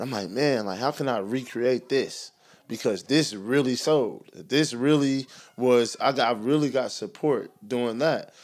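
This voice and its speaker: A man with a medium pitch talks in an unremarkable speaking voice with ordinary pitch variation. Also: fairly slow pace. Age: 30s. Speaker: podcast co-host and basketball trainer. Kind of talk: casual chat.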